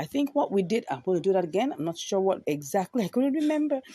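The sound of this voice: A woman's medium-pitched voice with a dark, mellow tone and a dry, close sound with no echo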